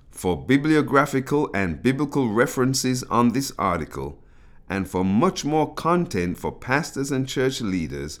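In a very clean recording with a silent background, a man talks at a fairly slow pace and medium pitch, his voice making very wide pitch swings. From British of African Caribbean heritage. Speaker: pastor and author. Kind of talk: reading aloud.

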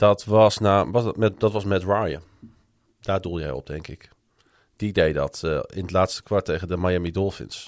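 This very clean recording has a silent background. The speech is fairly slow, with ordinary pitch variation. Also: man, very deep, low pitch for a man, big swings in loudness. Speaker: sports podcast host. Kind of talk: casual chat.

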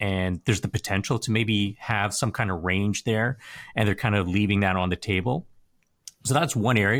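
Fairly low in pitch, a man moves at a fairly quick pace with ordinary pitch variation. It is an unremarkable speaking voice. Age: 40s. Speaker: personal finance commentator. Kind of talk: interview conversation. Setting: video call.

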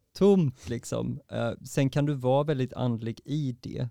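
With no echo at all, the man's voice sounds dry and close. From Sweden, Varberg. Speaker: poet and dancer. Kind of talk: casual interview.

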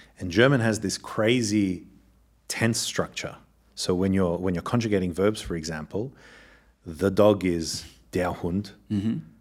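This fairly low-pitched man has an Australian accent and takes long, frequent pauses. The recording is very clean, with a silent background. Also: ordinary pitch variation, moderate pace. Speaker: scientist and communications executive. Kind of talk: interview conversation.

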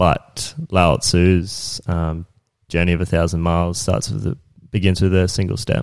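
This man speaks with an Australian accent at a fairly slow pace. His pitch is very deep and low, with ordinary variation. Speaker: business owner and construction manager. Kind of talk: casual interview chat.

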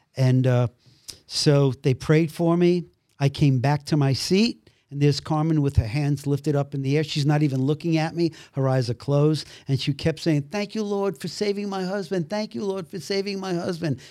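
In a very clean recording with a silent background, a man with an American accent talks at a moderate pace, his pitch fairly high and his tone dark and mellow. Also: ordinary pitch variation. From Brooklyn, New York. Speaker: actor. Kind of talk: testimony.

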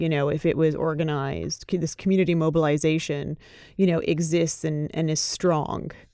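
A woman with a Canadian accent, very deep and low in pitch, at a fairly quick pace, in a monotone, flat intonation, on a very clean recording with a silent background. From Canada. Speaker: corporate accountability lawyer. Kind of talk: casual chat.

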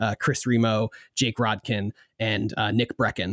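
In a dry, close sound with no echo and a silent background on a very clean recording, a man with an American accent speaks at a moderate pace and medium pitch with fairly even intonation, in an unremarkable speaking voice. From US, southern New Jersey. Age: 20s. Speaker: podcast producer. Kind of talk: casual interview chat.

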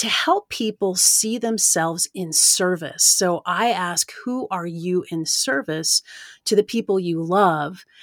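With an American accent and a plain, everyday voice, a woman speaks at a fairly low pitch with ordinary pitch variation in a dry, close sound with no echo. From US South, East Tennessee. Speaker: environmental lawyer and nonprofit executive. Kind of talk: interview.

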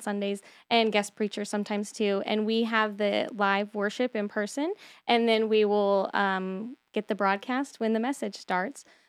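With an American accent, a woman speaks at a moderate pace in an unremarkable speaking voice, pitched fairly high. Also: very clean recording, silent background. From Texas. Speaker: church outreach director. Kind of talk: casual radio interview. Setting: radio studio.

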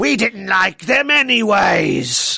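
A man puts on a raspy character voice. He pitches it high. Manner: gruff.

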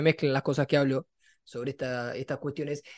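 A man with a Rioplatense accent at a very fast pace, on a very clean recording, silent background. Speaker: sports podcast co-host. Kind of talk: casual chat.

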